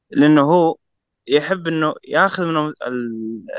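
The sound is dry and close with no echo as a man speaks at a fairly high pitch with ordinary pitch variation. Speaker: listener guest. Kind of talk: casual chat.

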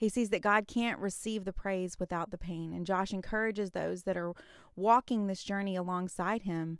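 The recording is very clean, with a silent background. A woman talks in a normal speaking voice at medium pitch, with ordinary pitch variation. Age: 30s. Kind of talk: faith-based solo podcast talk. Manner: casual, chatty with fillers.

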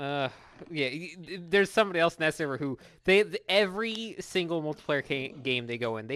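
On a very clean recording with a silent background, the talking proceeds at a moderate speed. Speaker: podcast co-host. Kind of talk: casual chat.

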